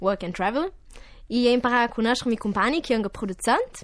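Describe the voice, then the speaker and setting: A woman at a fairly slow pace, ordinary pitch variation, quiet background. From Urtijëi, Val Gardena, South Tyrol, Italy. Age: 20s. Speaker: singer. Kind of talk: radio interview. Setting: studio.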